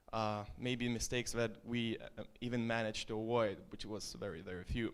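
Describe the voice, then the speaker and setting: Very clean recording with a silent background, where a man speaks at a medium pitch. His pace is moderate and his intonation fairly even. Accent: Estonian. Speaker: startup founder. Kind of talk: presentation. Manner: casual.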